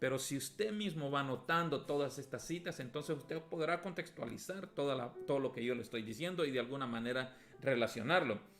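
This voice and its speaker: With music in the background, the man's pitch varies in an ordinary way. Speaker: pastor teaching a Bible class. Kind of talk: Bible lesson. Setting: at home, streamed.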